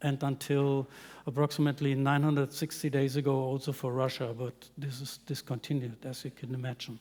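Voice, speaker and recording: Recorded very cleanly over a silent background, a man with an unremarkable speaking voice and fairly high pitch talks at a moderate pace. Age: 60s. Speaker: business development manager at a glass company, chemist. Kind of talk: panel discussion.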